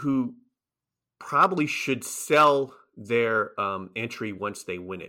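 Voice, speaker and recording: Recorded very cleanly against a silent background, a man talks at a medium pitch with a bright, sharp tone. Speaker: professor and horse racing analyst. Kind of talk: casual interview. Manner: fast talker; says he uses many ums and run-on sentences.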